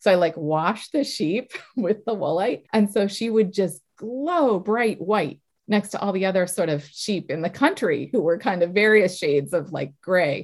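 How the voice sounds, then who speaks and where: A woman with a medium pitch speaks with lively intonation. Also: moderate pace. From Massachusetts, south of Boston. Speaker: health tech entrepreneur. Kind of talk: interview.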